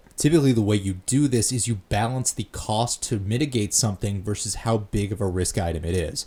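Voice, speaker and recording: Somewhat breathy, a man speaks with a fairly low pitch and a dark, mellow tone. His pitch variation is ordinary. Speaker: DIY mechanic. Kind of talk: instructional voiceover.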